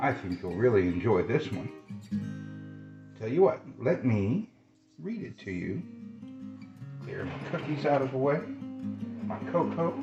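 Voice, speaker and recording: A man at medium pitch in a gentle, warm tone, very wide pitch swings, big swings in loudness, a fairly slow pace with long, frequent pauses, and music in the background. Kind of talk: casual talk to a pet snake.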